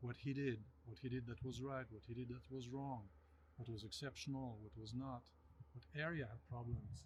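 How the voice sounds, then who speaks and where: A man speaks at a moderate pace with a French accent, his voice somewhat breathy. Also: medium pitch for a man, ordinary pitch variation. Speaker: winemaker. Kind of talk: interview.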